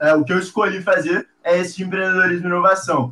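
A man's raised, projected voice, high-pitched and fairly quick. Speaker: university student and social entrepreneur. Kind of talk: casual interview.

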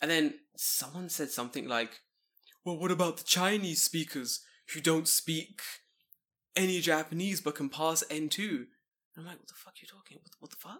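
A man with a London accent talks at a moderate pace in a high-pitched, bright, sharp tone, with ordinary pitch variation, big swings in loudness and long, frequent pauses. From London, England. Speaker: podcast guest, expat in Japan. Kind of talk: casual chat.

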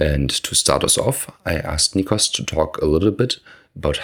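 A man speaks with a very deep, low pitch and vocal fry. His pitch swings very widely. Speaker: podcast host. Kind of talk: interview.

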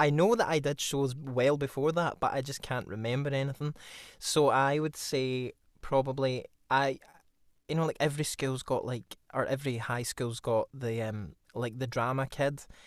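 In a very clean recording with a silent background, a man with a Glasgow accent speaks at a fairly high pitch, a moderate pace, and fairly even intonation. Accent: Scottish (Glasgow). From Scotland, Glasgow area. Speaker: actor and drama student. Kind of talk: casual chat.

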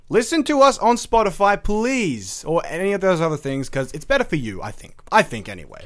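A man with an Australian accent speaks at a fairly quick pace in a high pitch, with very wide pitch swings and big swings in loudness. He hardly pauses, and the recording is very clean with a silent background. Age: young. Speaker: podcast host. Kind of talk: casual chat.

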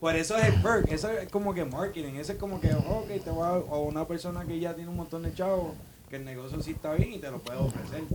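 Over noticeable background noise, a man speaks very fast in a high pitch with ordinary pitch variation. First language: English (speaking Spanish). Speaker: co-worker guest. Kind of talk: casual chat.

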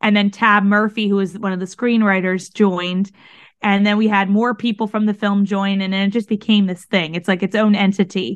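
A woman talks at a fairly quick pace in a medium pitch. The background is quiet. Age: 20s. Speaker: singer and podcaster. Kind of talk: casual interview. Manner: animated.

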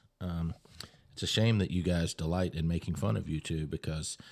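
A man talks in a very deep, low pitch. His pace is fairly quick. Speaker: podcast host. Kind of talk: casual chat.

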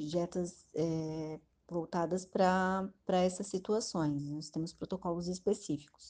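This woman's voice sits fairly low in pitch, with a dark, mellow tone. Her pitch varies in an ordinary way. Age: 30s. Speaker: hospital nutritionist. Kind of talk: interview.

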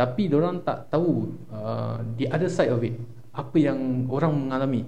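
At a fairly slow pace, a man talks with a medium pitch, ordinary pitch variation, a dark, mellow tone and vocal fry, with audible room echo. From Singapore, Tampines. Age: 20s. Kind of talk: casual chat.

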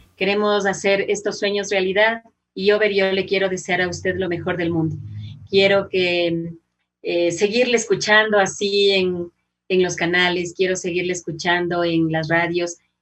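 Her pitch is medium. The woman talks at a moderate speed. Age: 50s. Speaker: journalist and radio announcer. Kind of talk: casual interview. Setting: video call.

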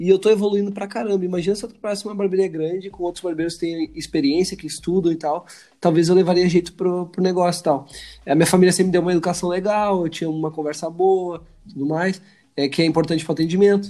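Very fast speech comes from a man with a high pitch. His tone is dark and mellow, and his intonation stays fairly even. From Brazil. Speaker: barber and educator. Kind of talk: casual chat.

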